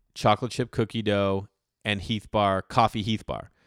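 Recorded very clean with a silent background and a dry, close sound with no echo, a man speaks in an ordinary speaking voice, fairly low and fairly quick, with fairly even intonation. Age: 40s. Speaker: stand-up comedian. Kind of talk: casual chat.

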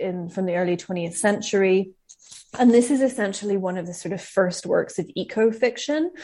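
A woman speaks at a fairly quick pace with a medium pitch, a dark, mellow tone and ordinary pitch variation. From Scotland. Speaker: writer and publishing professional. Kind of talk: interview conversation.

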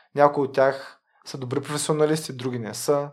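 In a flat, monotone delivery, a man talks at an unhurried, moderate speed. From Bulgaria, Varna. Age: 30s. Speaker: lawyer. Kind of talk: interview. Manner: halting.

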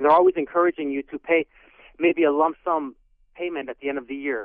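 This man speaks at a moderate pace. His pitch is fairly high. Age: 40s. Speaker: client testimonial guest, aspiring actor. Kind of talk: testimony. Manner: halting, many fillers.

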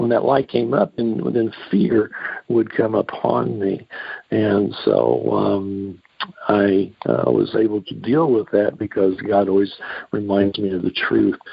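Using an ordinary speaking voice, a man talks at a fairly slow pace and fairly low pitch with lively intonation. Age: 60s. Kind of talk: teaching on a call-in radio show. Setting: phone call.

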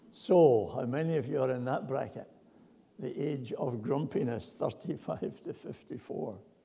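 With a dark, mellow tone, a man speaks at a very slow pace in a somewhat breathy voice with audible room echo. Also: medium pitch for a man, ordinary pitch variation. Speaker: preacher. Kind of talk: sermon.

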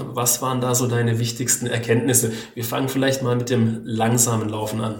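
Speech comes at a fairly quick pace over noticeable background noise, with audible room echo. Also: man. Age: 30s. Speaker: podcast host, journalist and amateur runner. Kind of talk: casual interview chat. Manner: hesitant, many fillers.

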